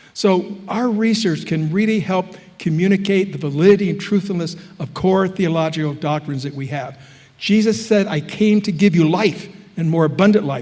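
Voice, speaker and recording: A man with an American accent and high pitch, ordinary pitch variation at a moderate pace, over noticeable background noise. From US Midwest, Chicago area. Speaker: professor. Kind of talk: lecture.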